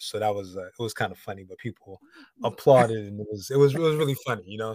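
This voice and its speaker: An American accent marks this man's very fast delivery, pitched fairly low. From Connecticut. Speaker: founder of plant-based shake company. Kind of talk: casual interview. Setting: video call.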